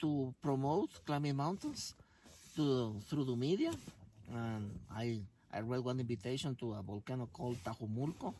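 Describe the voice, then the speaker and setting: A man with a Spanish accent speaks at a fairly slow pace, his pitch medium and its variation ordinary. His tone is dark and mellow. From Guatemala. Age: 60s. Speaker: mountaineer and motivational speaker. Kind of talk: interview. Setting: in a tent on an expedition. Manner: halting.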